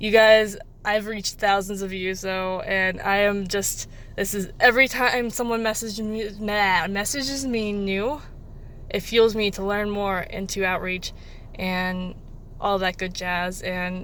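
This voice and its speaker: A woman speaks at a medium pitch and a fairly slow pace. Her intonation is fairly even, and the room echo is audible. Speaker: mental health charity co-founder. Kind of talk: vlog appeal. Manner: soft-spoken; rambling, halting.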